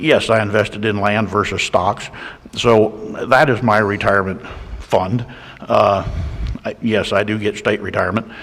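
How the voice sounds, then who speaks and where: A man with an American accent at a moderate pace, fairly low in pitch, with fairly even intonation, long, frequent pauses and noticeable background noise. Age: 60s. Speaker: county commissioner. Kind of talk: public meeting discussion. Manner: halting.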